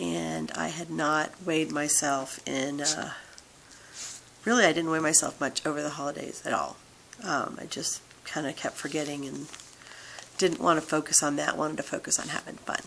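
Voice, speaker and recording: At a moderate pace, a woman with a very deep, low pitch speaks with long, frequent pauses over noticeable background noise. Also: ordinary pitch variation. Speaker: vlogger sharing weight loss surgery journey. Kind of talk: casual vlog update.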